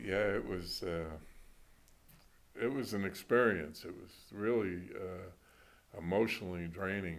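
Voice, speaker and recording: Over audible room echo, a man with a very deep, low pitch talks at a fairly slow pace, showing ordinary pitch variation, long, frequent pauses and big swings in loudness. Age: 70s. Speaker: retired basketball coach. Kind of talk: interview.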